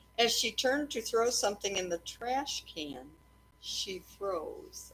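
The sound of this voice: A woman with a medium pitch talks at a slow pace, her fairly bright tone carrying a slightly husky edge and lively intonation.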